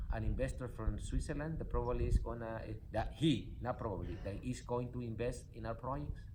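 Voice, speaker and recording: Audible room echo surrounds a man who talks at a fairly quick pace with hardly any pauses. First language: not English. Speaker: spiritual coach and nonprofit founder. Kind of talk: motivational talk. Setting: in a car. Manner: animated.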